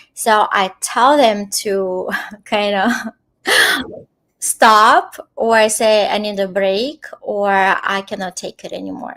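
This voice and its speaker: With a non-native accent, a woman speaks very slowly at a medium pitch and with fairly even intonation. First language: not English. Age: 40s. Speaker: contact experiencer and intuitive healer. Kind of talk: interview. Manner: halting, many fillers.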